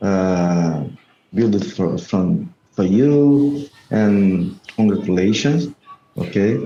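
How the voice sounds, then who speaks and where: A man with a Brazilian accent at a very slow pace, with audible room echo. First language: Portuguese. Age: 50s. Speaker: salesman. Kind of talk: video call conversation. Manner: halting.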